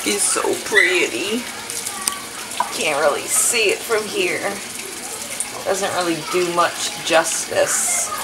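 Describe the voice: With clear background noise, a woman speaks slowly at a fairly low pitch, taking long, frequent pauses while her pitch swings very widely.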